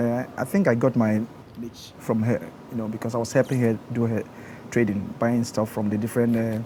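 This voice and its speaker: There is noticeable background noise as a man talks with a Ghanaian accent. His pitch is medium, his intonation fairly even, and his pace fairly quick. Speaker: engineer. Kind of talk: interview. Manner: soft-spoken; gentle.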